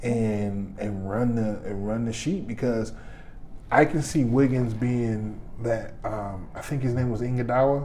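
A man with an American accent speaks at a fairly slow pace in a dark, mellow tone. His intonation is fairly even, and audible room echo surrounds the voice. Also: medium pitch for a man. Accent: Detroit, noticed by others. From Detroit, Michigan. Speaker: podcaster. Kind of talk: casual chat.

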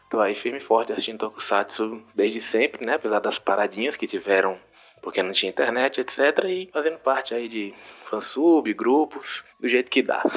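With an unremarkable speaking voice, a man talks at a moderate pace with medium pitch and ordinary pitch variation. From Rio de Janeiro, Brazil. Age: 30s. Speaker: listener sending voice message. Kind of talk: recorded voice message.

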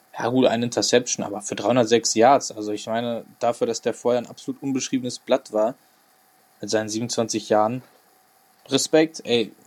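A man talks at a moderate pace, with a medium pitch and monotone, flat intonation. The sound is dry and close, with no echo. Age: 20s. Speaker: sports podcast host, student. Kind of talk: casual sports chat.

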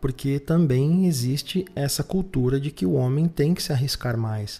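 Somewhat breathy, a man speaks with a dark, mellow tone and a fairly high pitch. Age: 30s. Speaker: podcast host. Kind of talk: solo monologue podcast. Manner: halting with frequent fillers.

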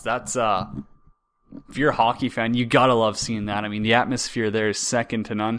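This man talks at a fairly quick pace with a Canadian prairie accent, a medium pitch and fairly even intonation. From Saskatchewan, Canada. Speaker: hockey podcast host. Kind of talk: casual solo sports talk. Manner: halting, frequent repetitions.

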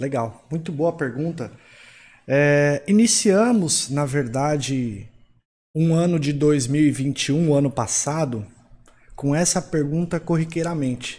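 A man speaks at a very slow pace, fairly high in pitch with ordinary variation, in a dark, mellow tone that is somewhat breathy. The recording is very clean, with a silent background. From São Paulo, Brazil. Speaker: financial consultant. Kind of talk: panel discussion.

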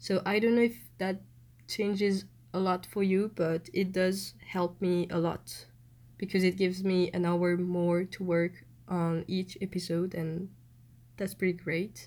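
A woman speaks with a French accent at medium pitch. Her intonation is fairly even and her pace fairly slow. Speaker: podcaster. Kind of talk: casual monologue.

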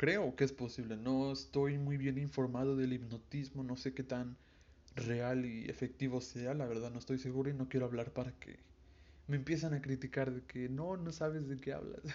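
Medium-pitched male voice with fairly even intonation. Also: moderate pace. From Veracruz, Mexico. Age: young. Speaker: podcast host. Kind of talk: casual monologue. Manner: halting, stumbling over words.

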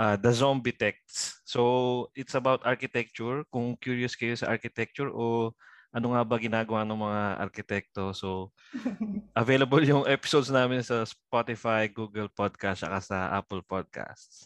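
A man talks at a moderate pace in a normal speaking voice with fairly even intonation. The sound is dry and close with no echo, against a quiet background. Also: medium pitch for a man. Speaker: architect and podcaster. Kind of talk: casual chat.

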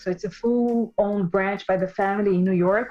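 Over noticeable background noise, a woman with a Portuguese accent talks at a moderate pace. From Brazil, Sao Paulo. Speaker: store owner, former banker. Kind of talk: interview. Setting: remote recording from the Hamptons.

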